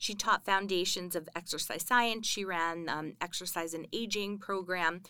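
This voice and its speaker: A woman's bright, sharp voice in an American accent, medium in pitch with ordinary pitch variation, at a moderate pace on a very clean recording with a silent background. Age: 30s. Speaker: university instructor. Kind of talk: interview. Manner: casual with filler words.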